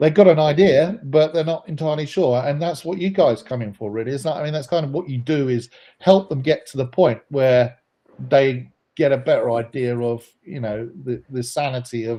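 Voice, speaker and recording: Using a British accent, a man with a fairly high pitch speaks at a moderate pace with ordinary pitch variation. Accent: obvious British. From Britain. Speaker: data analyst. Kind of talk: webinar discussion.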